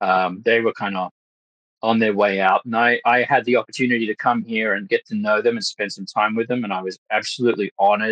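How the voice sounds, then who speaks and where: In an Australian accent, a man talks fairly quickly at a fairly low pitch with fairly even intonation, recorded with a dry, close sound and no echo. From Australia, Western Sydney / Blue Mountains. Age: 30s. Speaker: actor and Freemason. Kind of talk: podcast interview. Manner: halting, many fillers.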